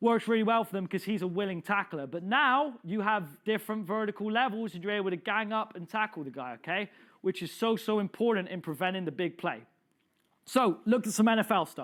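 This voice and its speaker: This man speaks in a high voice with an animated tone and a fairly quick pace. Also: ordinary pitch variation. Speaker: football coach presenting a clinic. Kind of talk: lecture. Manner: fast.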